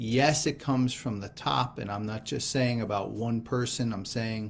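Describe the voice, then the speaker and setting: In a normal speaking voice, the speaker talks at a moderate pace with ordinary pitch variation and an American accent. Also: man. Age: 60s. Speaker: gospel reflection speaker. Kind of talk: scripture reflection.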